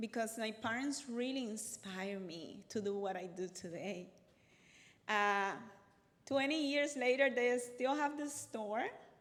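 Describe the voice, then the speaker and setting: This woman speaks fairly slowly with a fairly high pitch. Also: lively intonation. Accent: Cuban. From Cuba. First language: Spanish. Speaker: accountant and business workshop speaker. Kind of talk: workshop talk.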